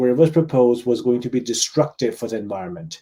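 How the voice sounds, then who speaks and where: Dark and mellow describes this man's tone. His pitch lands in the medium range. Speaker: local politician. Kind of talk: live Q&A stream.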